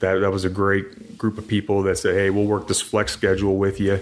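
A man's fairly low, monotone, flat delivery at a fairly quick pace. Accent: American. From US Midwest (Illinois, Kansas). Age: 40s. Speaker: drilling engineer and former fighter. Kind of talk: casual interview.

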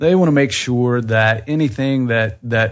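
In an ordinary speaking voice, a man talks at a moderate pace and medium pitch with ordinary pitch variation against a quiet background. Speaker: expat living in the North Caucasus. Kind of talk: casual interview.

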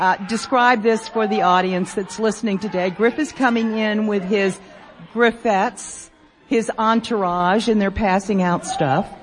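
Speech with ordinary pitch variation unfolds at a fairly slow pace amid noticeable background noise. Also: woman, fairly high pitch for a woman. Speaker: radio host. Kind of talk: live radio show banter with audience. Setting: stage with live audience at convention. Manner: animated, jokey.

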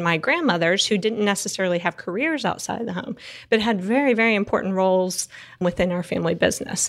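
With a Texas accent, the speaker talks at a fairly quick pace with ordinary pitch variation on a very clean recording with a silent background. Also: woman. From Texas Panhandle. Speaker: energy consultant. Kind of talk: interview.

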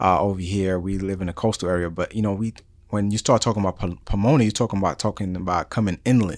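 Over a silent background on a very clean recording, a man with an American accent and a fairly low pitch talks at a very fast pace. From New York City, the Bronx. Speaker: podcast host. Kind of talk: interview. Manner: energetic.

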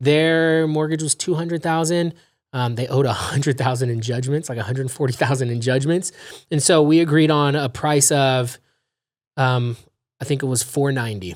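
A man with an American accent has an unremarkable speaking voice, fairly high in pitch with ordinary pitch variation. He talks at a moderate pace on a very clean recording with a silent background. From California, Los Angeles. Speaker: real estate investor. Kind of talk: casual interview.

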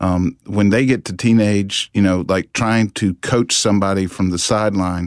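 Against a quiet background, with a dry, close sound and no echo, a man in a plain, everyday voice talks at a moderate pace, his pitch fairly low and his intonation fairly even. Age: 50s. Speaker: therapist. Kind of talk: radio interview. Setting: studio.

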